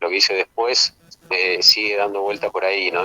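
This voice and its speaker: Dry and close with no echo, a man speaks at a fairly quick pace in a very deep, low pitch. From Argentina, Misiones (Puerto Iguazú). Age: 50s. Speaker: documentary filmmaker. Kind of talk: interview.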